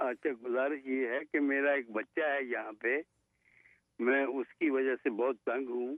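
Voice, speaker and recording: In a flat monotone, a man talks at medium pitch. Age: 70s. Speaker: caller. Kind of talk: phone call-in. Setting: phone call.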